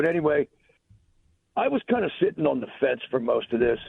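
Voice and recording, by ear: Putting on a character voice, a man talks high-pitched, raspy and hoarse at a fairly quick pace.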